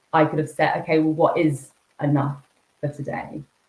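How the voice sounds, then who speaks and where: Speaking at a fairly quick pace, a woman talks in a very deep, low pitch that is somewhat breathy. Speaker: executive coach. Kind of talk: podcast interview. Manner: fast; jittery.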